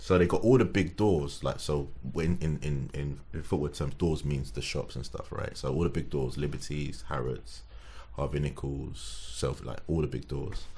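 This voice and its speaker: A man's very deep, low voice, dark and mellow with vocal fry, at a moderate pace with ordinary pitch variation and audible room echo. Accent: London. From London (Tottenham). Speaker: sneaker designer and collector. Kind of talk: casual chat.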